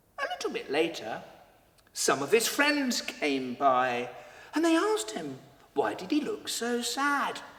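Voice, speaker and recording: The speech moves at a fairly slow pace over noticeable background noise. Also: man. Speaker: storyteller. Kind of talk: children's story telling. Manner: theatrical, dramatic.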